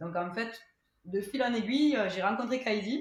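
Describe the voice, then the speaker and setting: In a Toulouse accent, a woman speaks with lively intonation. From Toulouse, southern France. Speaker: rugby strength and conditioning coach. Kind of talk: podcast interview. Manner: hesitant, many fillers.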